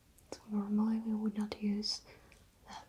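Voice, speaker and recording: A soft-spoken voice with flat, monotone intonation. There is noticeable background noise behind it. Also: woman. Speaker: makeup ASMR creator. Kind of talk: ASMR makeup tutorial. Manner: soft-spoken, slow.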